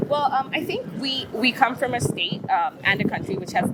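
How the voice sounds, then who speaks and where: A woman with a fairly high pitch speaks at a fairly quick pace. Her pitch swings very widely, and noticeable background noise is present. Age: 30s. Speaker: street interviewee. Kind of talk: casual interview. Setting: outdoors on the street. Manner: halting, hesitant.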